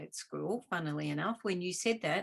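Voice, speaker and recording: A woman speaks at a medium pitch with vocal fry over a quiet background. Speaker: host, doctor. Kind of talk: interview conversation host.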